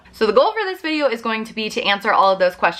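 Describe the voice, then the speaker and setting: A woman talks at a very fast pace in an animated tone. Noticeable background noise runs underneath. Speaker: vlogger. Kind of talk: casual vlog talk to camera.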